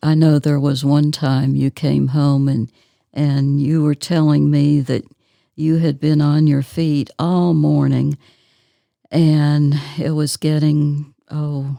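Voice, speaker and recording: A woman speaks very slowly with an American accent, her pitch very deep and low and her tone dark and mellow. Her intonation stays monotone and flat, and her loudness is very even. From Southern US. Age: 70s. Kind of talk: interview answer. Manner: soft-spoken.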